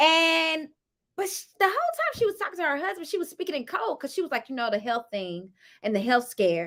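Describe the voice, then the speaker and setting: A woman uses a raised, projected voice with a bright, sharp tone. Her pitch swings very widely at a fairly quick pace. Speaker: YouTuber reviewing reality TV. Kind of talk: casual review monologue. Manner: loud.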